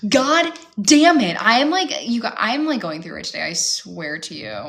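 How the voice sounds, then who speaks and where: With a Midwestern accent, a woman talks in an animated tone over noticeable background noise. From US Midwest, Chicago area, Illinois. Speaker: reality TV reaction host. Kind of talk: casual live watch-along commentary. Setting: home streaming with pets. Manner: animated, filler-heavy.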